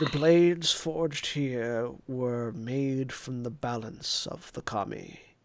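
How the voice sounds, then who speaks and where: A man puts on a raspy character voice at medium pitch. He talks at a fairly slow pace with hardly any pauses. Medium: actual play. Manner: solemn, oracular.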